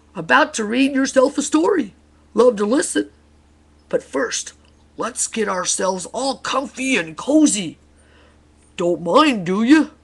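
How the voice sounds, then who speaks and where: A woman's put-on character voice, high-pitched, at a fairly slow pace with long, frequent pauses. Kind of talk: bedtime story. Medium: read story. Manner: clipped, cheery, presumptuous.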